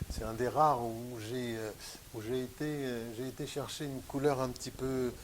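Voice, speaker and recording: A man speaks with a medium pitch and monotone, flat intonation. His pace is fairly slow, and audible room echo surrounds him. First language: Western Armenian (speaking French). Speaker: painter. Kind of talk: interview conversation. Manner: hesitant, many fillers.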